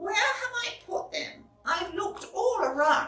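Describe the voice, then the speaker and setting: A squeaky, put-on character voice, female-sounding and extremely high in pitch, at a fairly slow pace. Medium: read story.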